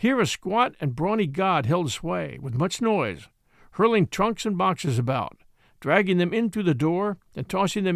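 The reading voice is unforced. Its intonation is lively.

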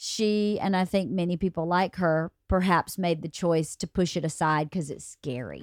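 In a very clean recording with a silent background and a dry, close sound with no echo, a woman with a fairly low pitch and ordinary pitch variation speaks at a moderate pace with hardly any pauses, in an unremarkable speaking voice. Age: 50s. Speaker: podcast host. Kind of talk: casual chat.

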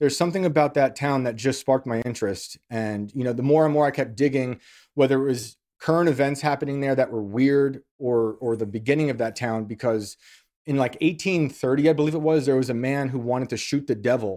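With a New York accent and a dark, mellow tone, a man speaks at a fairly quick pace with ordinary pitch variation. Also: medium pitch for a man. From New York, US. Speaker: author and journalist.

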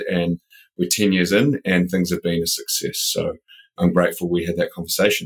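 A man with a New Zealand accent speaks at a very deep, low pitch. The sound is dry and close with no echo. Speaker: building products company president. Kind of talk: interview.

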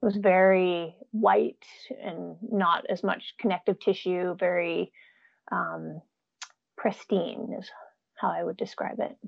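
A woman with an American accent speaks at a very slow pace. She leaves long, frequent pauses. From Jasper, Alberta, Canada. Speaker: bear hunter and gardener. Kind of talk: casual interview chat. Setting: remote call from Alaska.

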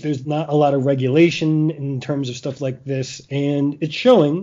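An ordinary speaking voice from a man, moderate in pace and fairly high-pitched. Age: 40s. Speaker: podcast host and sports writer. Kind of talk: casual chat.

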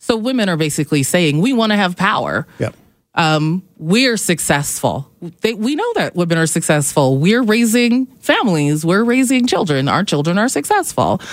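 A woman talks at a moderate pace and medium pitch. Her pitch swings very widely. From Calgary, Canada. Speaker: comedian and feminist activist. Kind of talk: radio interview. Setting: radio studio.

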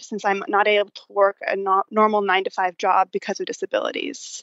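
With an American accent, a woman speaks at a fairly high pitch in an unremarkable speaking voice. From Dallas, Texas. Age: 20s. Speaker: listener. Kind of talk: casual chat. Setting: phone call.

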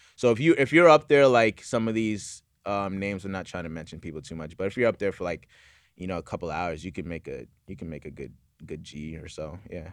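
In a very clean recording over a silent background, a man with a very deep, low voice speaks fairly quickly, his intonation lively and his loudness swinging widely. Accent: American. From Florida (St. Petersburg). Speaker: TikTok livestreamer. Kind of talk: casual interview. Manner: halting, many fillers.

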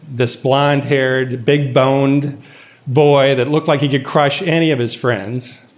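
Fairly slow speech from a man with an American accent and a fairly high pitch, over noticeable background noise. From US Midwest. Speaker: storyteller. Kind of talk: personal storytelling.

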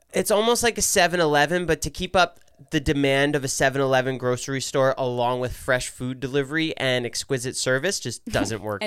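Talking at a moderate pace with a New Jersey accent, a man uses a fairly high pitch and lively intonation with hardly any pauses.

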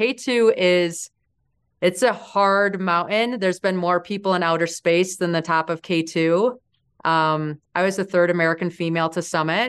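Against a quiet background, a woman with a plain, everyday voice talks at a moderate pace and a medium pitch, her pitch varying in an ordinary way. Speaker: mountaineer and entrepreneur. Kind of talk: interview storytelling.

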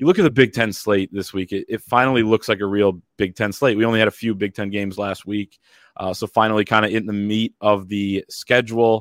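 A man talks in a normal speaking voice at a fairly quick pace. His pitch is fairly low. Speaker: sports podcast host. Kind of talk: sports preview podcast chat. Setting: studio, also on video.

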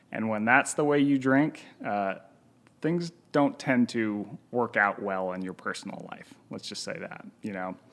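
In a plain, everyday voice, a man with an American accent talks fairly slowly at a medium pitch, his intonation lively. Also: big swings in loudness. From Utah, US. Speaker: author and professor. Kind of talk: podcast interview. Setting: in person at host's home.

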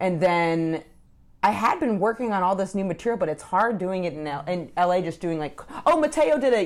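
A woman with an unremarkable speaking voice, an American accent, medium pitch, lively intonation and a fairly quick pace. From Maine, US. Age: 30s. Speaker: comedian and podcast co-host. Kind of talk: casual chat.

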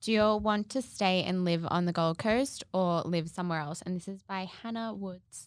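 With an Australian accent, a woman speaks at a moderate pace and medium pitch with ordinary pitch variation and hardly any pauses, recorded very cleanly against a silent background. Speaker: podcast co-host, social media influencer. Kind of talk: casual chat.

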